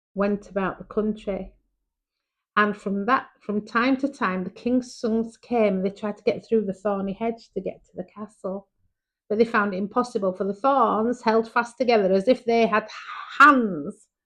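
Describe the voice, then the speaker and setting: A woman with a Yorkshire accent, fairly high pitch, moderate pace and fairly even intonation. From Yorkshire, England. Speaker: storyteller. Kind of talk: bedtime story reading for children. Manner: warm, chatty.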